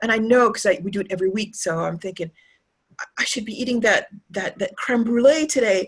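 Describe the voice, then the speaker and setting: A woman speaks fairly quickly in a Canadian accent. Her voice is somewhat breathy, with ordinary pitch variation. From Canada. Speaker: tour guide. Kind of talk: interview. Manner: halting, many fillers and repeats.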